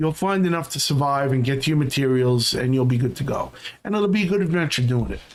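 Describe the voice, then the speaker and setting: With noticeable background noise, a man talks very fast in a fairly high voice with ordinary pitch variation. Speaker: gaming streamer. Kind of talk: gameplay commentary.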